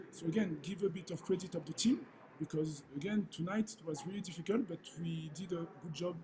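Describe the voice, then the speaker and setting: A French accent at a fairly quick pace, with long, frequent pauses and ordinary pitch variation. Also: man. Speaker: football head coach. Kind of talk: press conference. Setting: press conference. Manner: halting, many fillers.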